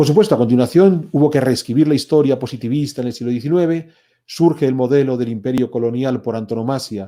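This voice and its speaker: On a very clean recording with a silent background, a man with a Spanish accent talks at a very fast pace in a dark, mellow tone at a medium pitch with ordinary pitch variation. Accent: Spanish (Spain). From Spain. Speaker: historian. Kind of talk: lecture. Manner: animated.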